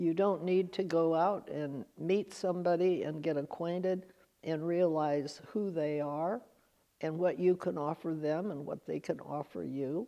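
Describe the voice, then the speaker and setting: With a West Coast accent, a woman speaks at a fairly low pitch in a dark, mellow tone and fairly even intonation. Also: fairly slow pace. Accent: American West Coast. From Northern California. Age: 90s. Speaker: oral history interviewee. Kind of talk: interview; narration over photos. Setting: museum auditorium.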